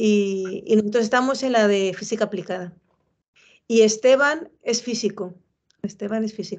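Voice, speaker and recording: Speaking at a moderate pace, a woman with a fairly high voice keeps her intonation fairly even. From Spain, Madrid. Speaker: professor. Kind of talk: casual chat.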